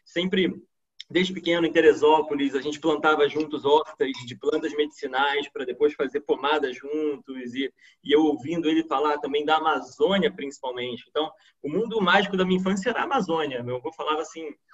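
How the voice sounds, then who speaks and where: Fairly quick speech from a man with a fairly high pitch and ordinary pitch variation. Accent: Carioca. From Brazil, Rio de Janeiro. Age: 30s. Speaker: PhD student scientist. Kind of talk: online science talk. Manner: many filler hesitations.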